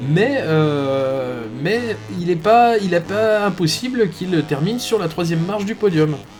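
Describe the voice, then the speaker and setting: A man's high-pitched voice, very slow and lively in intonation, over music in the background. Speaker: esports race commentator. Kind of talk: live commentary. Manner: hesitant, many fillers.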